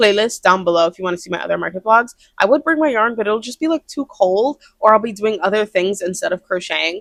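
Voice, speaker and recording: A woman's fairly high voice with lively intonation at a very fast pace, dry and close with no echo. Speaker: crochet artist and vlogger. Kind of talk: casual vlog talk to camera. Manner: loud, projects voice; fast, chatty with many fillers. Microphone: brand new mic.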